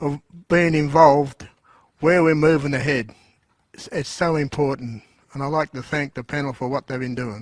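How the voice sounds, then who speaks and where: A man talks at a moderate pace and fairly high pitch, with fairly even intonation and long, frequent pauses. His loudness swings widely, and the sound is dry and close with no echo. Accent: Australian. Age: 70s. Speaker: audience member. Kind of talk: audience comment at Q&A. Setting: auditorium with audience.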